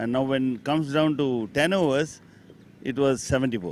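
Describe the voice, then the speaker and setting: A man speaks at a moderate pace. His fairly high pitch has ordinary variation. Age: 60s. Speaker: lawyer cricketer, team elder. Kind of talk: post-match interview.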